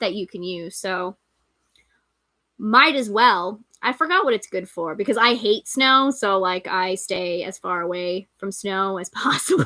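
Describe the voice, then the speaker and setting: Fairly slow speech with an American accent and an animated tone. Loudness rises and falls sharply. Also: woman, medium pitch for a woman, ordinary pitch variation. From New York. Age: 30s. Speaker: livestream host, pagan content creator. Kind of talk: casual livestream chat. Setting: live stream.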